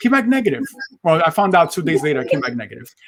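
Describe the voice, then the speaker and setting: A man speaks in a New York accent. His intonation is lively. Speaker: motivational speaker. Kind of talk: interview.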